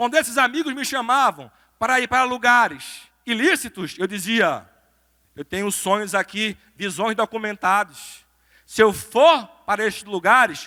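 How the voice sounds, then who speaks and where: Recorded dry and close with no echo, a man with a Recife accent projects a raised voice with a high pitch, ordinary pitch variation, a bright, sharp tone, big swings in loudness and a moderate pace. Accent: northeastern Brazilian (Recife). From Brazil, Recife (Pernambuco). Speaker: lawyer, motivational speaker. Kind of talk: motivational talk. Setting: stage with audience in a church.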